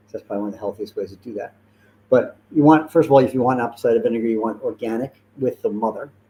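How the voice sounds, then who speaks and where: Speaking very fast, a man has a dark, mellow tone at a medium pitch. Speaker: holistic health practitioner. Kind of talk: live-streamed talk to audience. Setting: live event with in-person audience, streamed.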